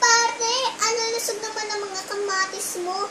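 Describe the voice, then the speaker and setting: A woman uses a squeaky put-on character voice. She talks at a fairly slow pace. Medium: read story. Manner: calm, jovial.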